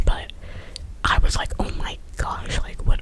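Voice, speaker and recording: Whispered words from a woman, set against noticeable background noise. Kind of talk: ASMR whispered storytime ramble. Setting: quiet room with air conditioner hum in the background. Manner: whispered, rambling, casual chatty.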